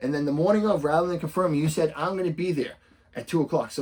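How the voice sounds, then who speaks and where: This man speaks at a very fast pace in a Boston accent. His pitch is fairly high. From Boston area, US. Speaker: real estate investor and coach; coach. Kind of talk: tutorial. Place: home room.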